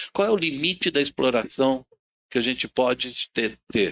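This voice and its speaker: A man with a medium pitch and a bright, sharp tone swings his pitch very widely, recorded in a dry, close sound with no echo. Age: 60s. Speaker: panel speaker on sustainability. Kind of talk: talk at a public event.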